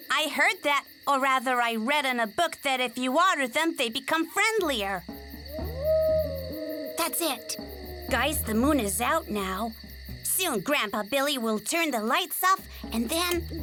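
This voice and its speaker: A cartoonish character voice moves at a fairly slow pace, with long, frequent pauses. Background noise is clearly audible. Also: female-sounding voice, high pitch for a woman. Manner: fussy, excitable.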